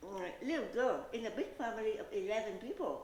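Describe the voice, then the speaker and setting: Speaking with a Vietnamese accent, a woman keeps a moderate pace and lively intonation. Noticeable background noise and audible room echo surround her voice. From Vietnam, Saigon. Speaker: realtor and pageant contestant. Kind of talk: interview. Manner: hesitant, with fillers.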